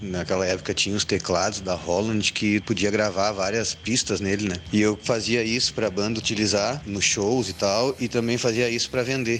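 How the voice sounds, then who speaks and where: A man with a southern Brazilian accent speaks at a moderate pace in a fairly low voice, with hardly any pauses. His intonation is fairly even, his loudness very even, and there is noticeable background noise. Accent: gaúcho Brazilian Portuguese. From Rio Grande do Sul, Brazil (Sapucaia do Sul). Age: 40s. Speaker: musician and cultural venue owner. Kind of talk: interview.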